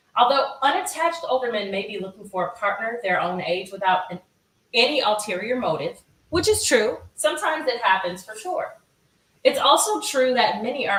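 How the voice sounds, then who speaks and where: An animated delivery at a moderate pace, with very wide pitch swings and big swings in loudness. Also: woman. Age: 40s. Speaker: YouTuber hosting commentary live stream. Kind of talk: reading an article aloud with commentary. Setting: live stream.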